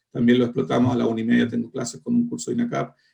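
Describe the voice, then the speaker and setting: A man talks in a Chilean accent. His pitch swings very widely. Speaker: foreign trade lecturer. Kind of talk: online lecture closing remarks. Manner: colloquial; halting.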